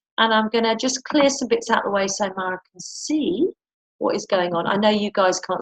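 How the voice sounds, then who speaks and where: With lively intonation, a woman speaks in a somewhat breathy, fairly high voice at a fairly quick pace, in a dry, close sound with no echo. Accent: British. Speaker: webinar host and clinic owner. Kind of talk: casual live webinar chat. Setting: live webinar from a clinic. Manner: fast.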